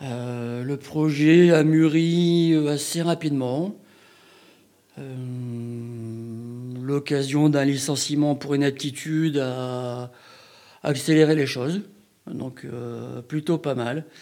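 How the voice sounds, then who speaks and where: Talking at a very slow pace, a man leaves long, frequent pauses. His pitch is fairly high and his intonation fairly even. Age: 40s. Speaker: sheep farmer and cheesemaker. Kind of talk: interview.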